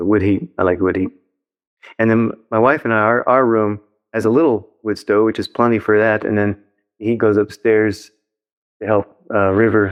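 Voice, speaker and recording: With long, frequent pauses, a man speaks at a moderate pace in a fairly low pitch with fairly even intonation. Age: 60s. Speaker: former religious community leader. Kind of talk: casual interview conversation.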